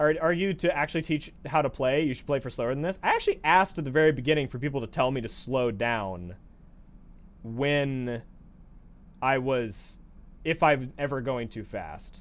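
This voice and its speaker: This man's pitch sits fairly high. His pitch variation is ordinary. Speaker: gaming streamer. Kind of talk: live gameplay tutorial. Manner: fast.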